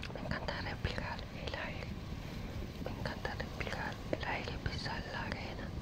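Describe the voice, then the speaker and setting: A man's fairly slow speech, dry with no echo, under loud background noise. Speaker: ASMR creator. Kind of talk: ASMR vlog talk to viewer. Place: beach. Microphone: phone near.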